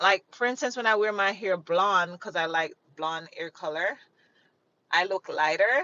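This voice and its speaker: A woman with a Jamaican accent speaks in an animated tone at a medium pitch, with ordinary pitch variation. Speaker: livestreamer. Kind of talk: casual chat. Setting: live stream.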